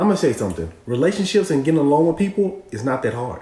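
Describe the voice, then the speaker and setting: Very fast and fairly high-pitched, a man's voice has a dark, mellow tone, vocal fry and very wide pitch swings. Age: 40s. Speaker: co-host. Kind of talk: live stream advice chat.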